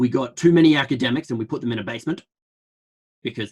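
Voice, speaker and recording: Talking at a very fast pace, a man with an Australian accent uses ordinary pitch variation. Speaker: public health researcher. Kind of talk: online lecture. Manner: fast, with many fillers and restarts.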